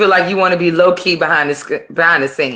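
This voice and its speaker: This loud voice has a bright, sharp tone, ordinary pitch variation, and an American accent. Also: woman. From Virginia. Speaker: rapper. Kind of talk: casual interview chat. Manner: loud, projecting.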